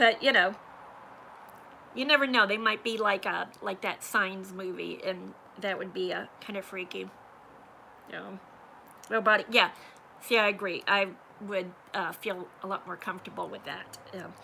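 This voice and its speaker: A woman at a moderate pace and medium pitch, with fairly even intonation, vocal fry, a bright, sharp tone, big swings in loudness and long, frequent pauses. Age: 50s. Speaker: YouTuber, livestream host. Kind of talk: casual livestream chat.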